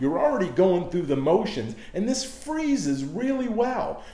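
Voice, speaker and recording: A man at a moderate pace amid audible room echo. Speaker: cooking show host. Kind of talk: tutorial. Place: kitchen. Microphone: camera far.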